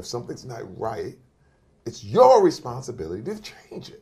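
The man's volume rises and falls a great deal. He talks at a moderate pace. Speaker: interview guest. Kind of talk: motivational speech. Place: studio.

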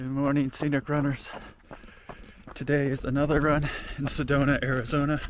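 Monotone, flat intonation over light background noise. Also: man, fairly quick pace, dry sound with no echo. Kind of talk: casual narration while running. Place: open country. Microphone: phone near.

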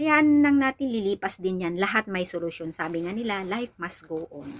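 Her intonation lively, a woman is speaking. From Philippines. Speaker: vlogger. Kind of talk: product tutorial vlog; casual vlog chat. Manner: halting. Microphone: phone near.

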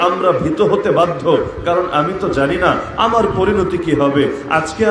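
A man's voice carries audible room echo, with light noise in the background. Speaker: preacher. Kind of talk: sermon. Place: stage. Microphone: podium.

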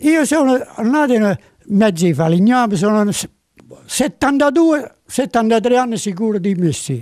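A man with a Campanian accent speaks at a very slow pace in a high voice, his intonation lively and his loudness very even, with long, frequent pauses over a quiet background. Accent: Campanian dialect-inflected Italian. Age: 80s+. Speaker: interviewee. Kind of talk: interview answer. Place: workshop. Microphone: handheld.

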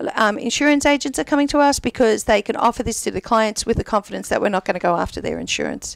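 A woman with fairly high pitch and vocal fry talks at a very fast pace with hardly any pauses, in a dry sound with no echo against a quiet background. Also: ordinary pitch variation. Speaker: payroll service provider. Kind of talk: casual chat. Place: studio. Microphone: studio mic.

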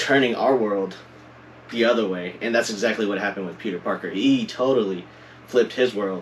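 A man talks at a fairly quick pace in a fairly low pitch, with fairly even intonation. Light background noise can be heard. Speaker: guest host. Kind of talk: casual conversation. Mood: cheerful, laughing. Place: home room.

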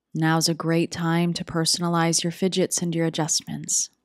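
With a normal speaking voice, a woman at a fairly low pitch sounds dry and close, with no echo. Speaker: meditation guide. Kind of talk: guided meditation. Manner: slow, calm, soothing; soft-spoken, gentle, with long pauses.

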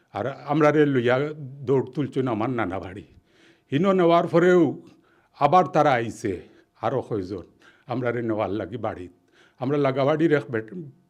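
Speaking in a Sylheti accent, a man uses lively intonation at a medium pitch. The background is quiet. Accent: Sylheti Bengali. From Sylhet, Bangladesh (Beanibazar). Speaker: journalist. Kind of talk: personal testimony interview.

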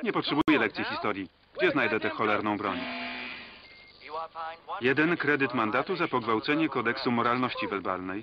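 A man speaks at a moderate pace with long, frequent pauses and big swings in loudness over noticeable background noise. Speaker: Polish film voice-over reader (lektor). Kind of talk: single-voice film translation read over the original soundtrack.

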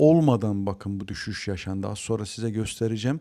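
Moderate-paced speech from a man, dark and mellow in tone. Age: 40s. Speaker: trading educator. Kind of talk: market analysis tutorial. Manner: casual with frequent fillers.

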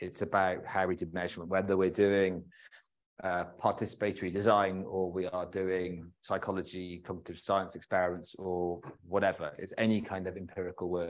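Over a quiet background, a man with a very deep, low voice speaks at a moderate pace in a flat monotone. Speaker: presenter. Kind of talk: lecture. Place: hall.

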